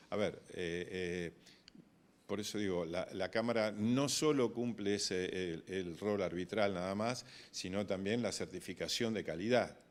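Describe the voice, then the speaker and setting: On a very clean recording with a silent background, a man speaks at a fairly slow pace. His pitch is fairly low, with ordinary variation. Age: 60s. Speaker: grain broker. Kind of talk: interview. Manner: hesitant, many fillers and repetitions.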